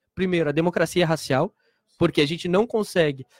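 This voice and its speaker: The man's voice sits fairly high, with ordinary pitch variation. The sound is dry and close, with no echo. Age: 30s. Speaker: historian and LGBT event organizer. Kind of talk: radio interview. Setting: radio studio. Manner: halting, repeats words.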